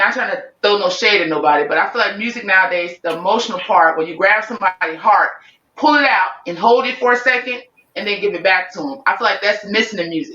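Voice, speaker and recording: The speaker talks at a very fast pace with a strong New Orleans accent. The tone is animated and the intonation lively. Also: woman, medium pitch for a woman. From Chicago. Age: 40s. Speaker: singer-songwriter. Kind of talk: interview. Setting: podcast.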